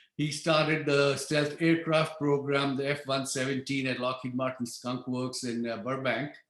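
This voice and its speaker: In a room with audible echo, a man talks at a moderate pace and a fairly high pitch with monotone, flat intonation. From outside the US (immigrant). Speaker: engineer on stealth ship program. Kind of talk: lecture. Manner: hesitant, many fillers.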